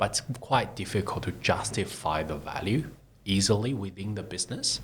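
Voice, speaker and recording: Somewhat breathy speech at a moderate pace with ordinary pitch variation. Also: man, fairly low pitch for a man. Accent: non-native. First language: not English. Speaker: tech startup CEO. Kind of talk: interview. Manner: halting.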